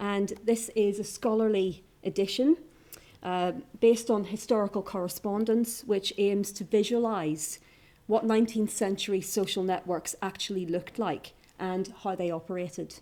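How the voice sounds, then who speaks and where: Speaking at a moderate pace with a Northern Irish accent, a woman uses a medium-pitched, dark, mellow voice with fairly even intonation. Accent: Northern Irish (Ulster). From Northern Ireland, County Down. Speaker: academic historian. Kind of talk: conference paper presentation. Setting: conference room with audience.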